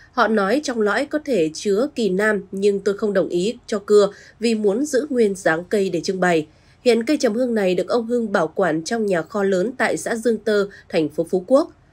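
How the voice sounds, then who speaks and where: A woman speaks in a plain, everyday voice at a moderate pace. Her medium pitch carries lively intonation. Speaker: news presenter. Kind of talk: news reading. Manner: formal.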